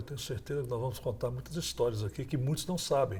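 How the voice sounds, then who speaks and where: A man's dark, mellow voice is somewhat breathy, with lively intonation. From Brazil, Goiás (Goiânia). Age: 60s. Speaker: former state governor. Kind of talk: interview.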